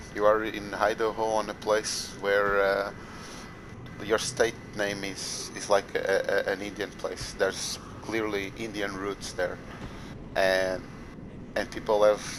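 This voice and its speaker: A man speaks at a very slow pace with long, frequent pauses, in a monotone, flat intonation at a fairly low pitch. Noticeable background noise runs underneath. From Portugal. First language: Portuguese. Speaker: gamer. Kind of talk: heated debate.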